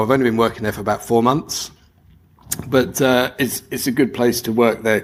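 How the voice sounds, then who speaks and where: A man with a London accent, flat and monotone, at a fairly quick pace. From London, England. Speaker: conference speaker, DevOps engineer. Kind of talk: conference talk. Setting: stage with audience. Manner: normally fast.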